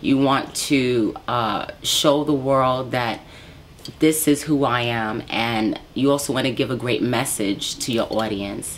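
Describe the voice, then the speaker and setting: Noticeable background noise accompanies a very slow speaker with an American accent and fairly even intonation. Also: woman, very deep, low pitch for a woman. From New York, Brooklyn. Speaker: R&B soul singer. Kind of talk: interview.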